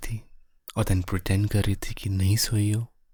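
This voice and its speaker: A man speaks in a fairly low, somewhat breathy voice with a dark, mellow, soothing tone. The recording is very clean, with a silent background. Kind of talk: ASMR boyfriend roleplay. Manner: comforting, soothing.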